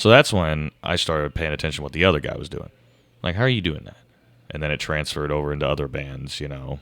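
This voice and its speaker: Very fast speech with vocal fry and ordinary pitch variation. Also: man, very deep, low pitch for a man, big swings in loudness. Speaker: guitarist and singer. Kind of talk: casual chat. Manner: hesitant, many fillers.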